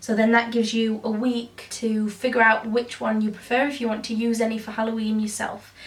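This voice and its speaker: A woman speaks at a fairly quick pace in a monotone, flat way, with noticeable background noise. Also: fairly high pitch for a woman, hardly any pauses. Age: 20s. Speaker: beauty youtuber. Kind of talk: casual vlog talk.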